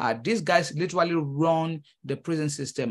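Speaking in a Nigerian accent at a moderate pace, a man with a fairly high pitch uses lively intonation. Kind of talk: interview conversation. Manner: hesitant, with many fillers and repeats.

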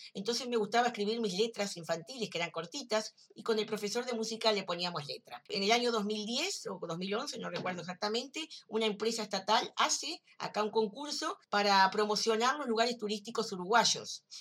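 A woman's fairly quick, nearly pause-free delivery at a fairly high pitch, with ordinary pitch variation and a plain, everyday voice. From Uruguay. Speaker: writer. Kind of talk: recorded self-introduction.

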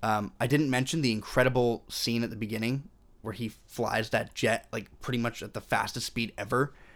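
This man has a plain, everyday voice, speaking at a medium pitch and a moderate pace with fairly even intonation. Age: 20s. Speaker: film podcast co-host. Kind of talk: casual chat.

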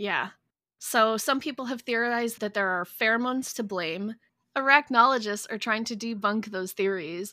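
In an American accent, a woman with a fairly high pitch and a bright, sharp tone speaks at a moderate pace with ordinary pitch variation. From United States. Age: 30s. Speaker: podcast co-host. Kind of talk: casual chat.

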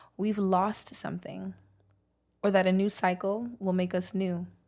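The recording is very clean, with a silent background. A woman with an American accent speaks at a moderate pace in a medium pitch. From Brooklyn, New York. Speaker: author and poet. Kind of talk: casual chat, interview.

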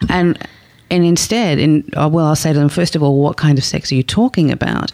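A woman with an Australian accent speaks fairly quickly in a dark, mellow tone. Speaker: sex therapist. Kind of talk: interview.

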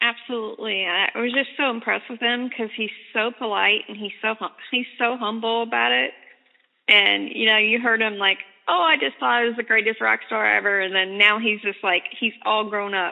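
A woman talks at a moderate pace in a plain, everyday voice. Her fairly high pitch has ordinary variation. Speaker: radio interviewer. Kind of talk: radio interview, casual chat. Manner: warm, encouraging.

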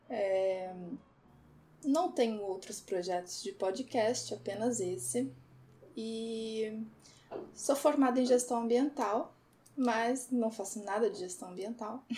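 A woman speaks at a very slow pace with long, frequent pauses and ordinary pitch variation. Her voice is fairly high in pitch, somewhat breathy, and dark and mellow in tone. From Brazil, Porto Alegre. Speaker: podcast co-host. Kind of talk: casual chat.

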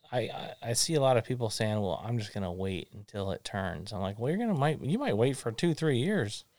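An ordinary speaking voice moves at a fairly quick pace with lively intonation in a very clean recording with a silent background. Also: man. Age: 40s. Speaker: podcast host. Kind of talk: casual chat. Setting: studio.

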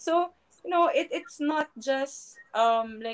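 A woman speaks in a Filipino accent. Her tone is animated. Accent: Filipino English with Tagalog code-switching. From Philippines. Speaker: professional volleyball player and sports analyst. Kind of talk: casual interview chat. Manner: animated, laughs often.

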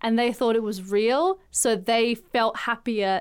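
This woman speaks at a fairly slow pace in a fairly high pitch, with an Australian accent and fairly even intonation. The recording is very clean, with a silent background. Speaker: podcast host. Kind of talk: casual chat.

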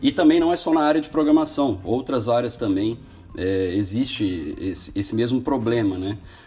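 At a moderate pace, a man with a medium-pitched voice speaks over background music. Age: 20s. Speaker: programmer and business owner. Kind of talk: casual chat.

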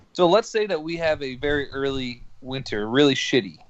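Ordinary pitch variation and a moderate pace mark an ordinary speaking voice. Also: man. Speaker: podcast co-host. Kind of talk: casual banter. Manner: crude joker.

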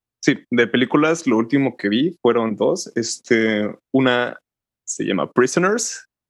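Pitch variation stays ordinary, and the pace is fairly slow. It is an unremarkable speaking voice. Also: man, medium pitch for a man. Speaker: podcast co-host. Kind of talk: casual chat.

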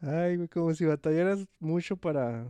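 Speaking at a fairly slow pace, a man has a dark, mellow tone in a dry, close sound with no echo. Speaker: podcast co-host. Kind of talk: casual chat.

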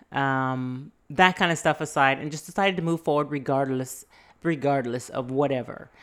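Very deep and low, this woman's voice shows ordinary pitch variation. The recording is very clean, with a silent background. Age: 40s. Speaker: podcast host. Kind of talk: casual solo monologue. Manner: excitable.

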